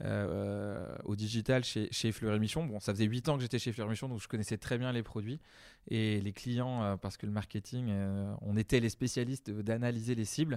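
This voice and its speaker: A man at a fairly slow pace with fairly even intonation, on a very clean recording with a silent background. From western France, Deux-Sèvres. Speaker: head of digital at a theme park. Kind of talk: interview. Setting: on location at the park manor. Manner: hesitant, many fillers.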